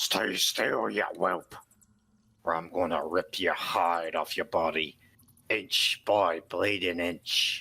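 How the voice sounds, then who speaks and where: A very slow, gruff, raspy put-on character voice from a man, pitched very deep and low. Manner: menacing.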